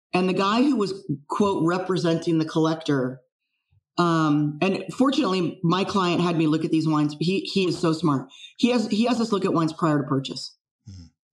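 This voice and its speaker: Speaking at a moderate pace with an American accent, a woman has a fairly low pitch and an unremarkable speaking voice. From US West Coast, San Francisco Bay Area. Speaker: wine fraud expert. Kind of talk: casual interview.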